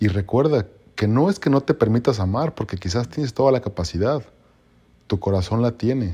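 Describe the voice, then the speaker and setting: The voice has a Mexican accent. Its tone is dark and mellow. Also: man. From Mexico. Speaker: podcaster. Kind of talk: motivational monologue. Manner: halting; passionate.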